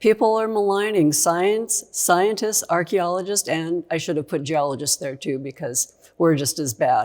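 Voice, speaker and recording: With a normal speaking voice, a woman talks at a moderate pace and fairly low pitch, her intonation lively and her delivery hardly pausing, on a very clean recording with a silent background. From Canada (Saskatchewan). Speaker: geologist. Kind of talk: conference presentation, educational lecture. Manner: conversational, lively.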